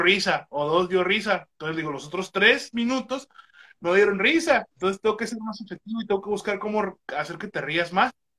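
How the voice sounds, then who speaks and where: A man speaks at a moderate pace in a raised, projected voice. His tone is bright and sharp, with ordinary pitch variation. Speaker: stand-up comedian. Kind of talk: casual chat.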